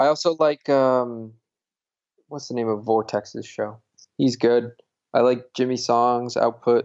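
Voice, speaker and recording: The speaker talks at a fairly slow pace with an American accent and fairly even intonation. Long pauses come often. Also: man, medium pitch for a man. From Connecticut. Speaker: Bitcoin activist. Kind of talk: interview.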